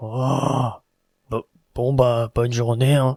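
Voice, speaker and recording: Using a put-on character voice, a man speaks at a very slow pace in a medium pitch with monotone, flat intonation, the sound dry and close with no echo. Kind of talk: comic parody acting. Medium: comedy sketch. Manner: gruff, curt.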